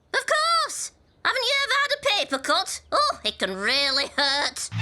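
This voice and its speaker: In a cartoonish character voice, a woman sounds squeaky at an extremely high pitch, with very wide pitch swings, very even loudness, and a moderate pace. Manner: dramatic, mock-solemn.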